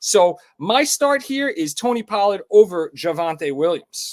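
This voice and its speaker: Someone speaks with a New York accent and ordinary pitch variation. The sound is dry and close, with no echo. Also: man. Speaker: sports betting show host. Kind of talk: live stream sports chat. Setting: live stream. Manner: casual, animated.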